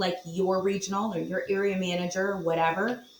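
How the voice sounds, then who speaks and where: Through noticeable background noise, a woman speaks at a medium pitch with an American accent. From Virginia Beach, Virginia. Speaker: property management executive. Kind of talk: podcast interview.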